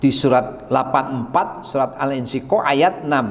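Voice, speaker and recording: A man speaks at a medium pitch and a fairly slow pace, with audible echo in the room. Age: 60s. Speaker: preacher. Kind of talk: sermon.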